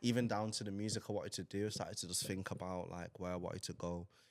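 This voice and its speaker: A man talks at a very fast pace in a Mancunian accent. His very deep, low voice comes through on a very clean recording with a silent background. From Manchester, northern England. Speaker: rapper and DJ. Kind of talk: podcast interview. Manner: animated.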